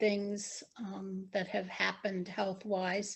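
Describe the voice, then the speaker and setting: The pace is very slow. The voice sounds somewhat breathy. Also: woman. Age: 60s. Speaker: interviewee in oral history. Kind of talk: oral history interview.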